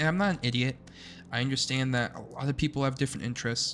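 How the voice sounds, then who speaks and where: Mumbling, a man speaks at medium pitch with fairly even intonation. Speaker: gaming commentator. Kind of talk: unscripted rant. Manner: loud.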